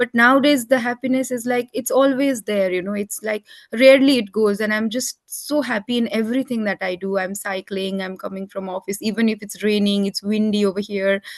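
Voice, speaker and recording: With a non-native accent, a woman talks at a fairly quick pace with hardly any pauses, her fairly high voice showing ordinary pitch variation in a dry, close recording with no echo. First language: not English. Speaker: online group session host. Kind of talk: video call group discussion.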